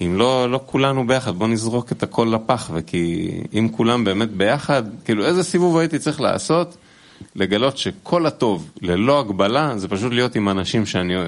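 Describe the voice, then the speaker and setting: A man speaks in an unremarkable speaking voice at medium pitch. His pace is moderate and his intonation lively. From Israel. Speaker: musician. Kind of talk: casual chat. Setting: studio.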